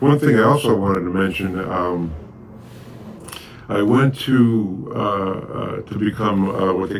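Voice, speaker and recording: With a New York accent, a man at a fairly low pitch with ordinary pitch variation talks at a moderate pace over noticeable background noise. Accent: New York City. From Bronx, New York City. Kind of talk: oral history interview answer.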